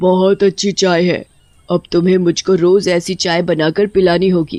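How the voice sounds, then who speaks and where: A put-on character voice at a middle pitch, delivered at a fairly slow pace. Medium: audio drama. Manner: demanding, eerie.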